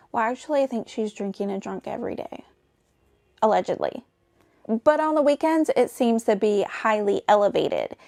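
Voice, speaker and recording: In a Southern accent, a woman speaks at a moderate pace and fairly high pitch with lively intonation and big swings in loudness, on a very clean, silent-background recording with a dry, close sound and no echo. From US South. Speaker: YouTube commentator. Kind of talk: commentary narration. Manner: casual, conversational.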